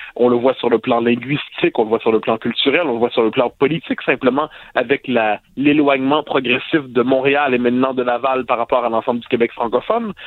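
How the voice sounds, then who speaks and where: Using an ordinary speaking voice, a man talks at a fairly quick pace with hardly any pauses, at medium pitch and with fairly even intonation. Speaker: sociologist and columnist. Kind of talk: radio commentary.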